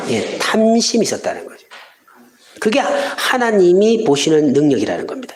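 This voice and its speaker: A man speaks at a fairly slow pace. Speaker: pastor. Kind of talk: sermon.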